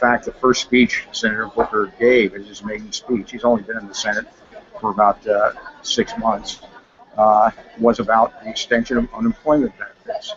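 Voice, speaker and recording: A man with big swings in loudness over noticeable background noise. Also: moderate pace. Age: 70s. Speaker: Senate candidate. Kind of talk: interview.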